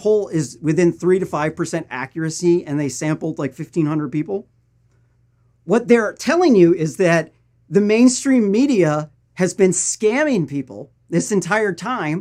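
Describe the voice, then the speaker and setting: In a Missouri accent, a man talks at a fairly slow pace with a high pitch, very wide pitch swings and a dark, mellow tone. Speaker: political news commentator. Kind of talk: political commentary.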